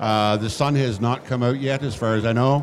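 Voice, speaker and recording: This is a man at a medium pitch. Background noise is noticeable. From Nova Scotia, Canada. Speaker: real estate executive. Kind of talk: live podcast interview. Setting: stage with audience at a conference.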